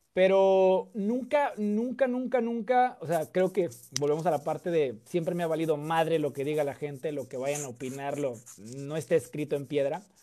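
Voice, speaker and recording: Speaking at a moderate pace with a Mexican accent, a man uses a high, dark, mellow voice with lively intonation. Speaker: political content creator. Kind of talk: casual chat.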